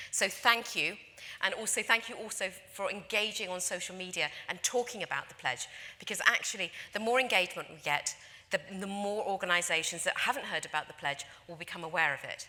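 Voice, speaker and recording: Speaking in a London accent, a woman goes at a fairly quick pace in a bright, sharp tone, with ordinary pitch variation and big swings in loudness. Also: medium pitch for a woman. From London, England. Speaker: conference speaker, industry association representative. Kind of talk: conference presentation. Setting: stage with audience.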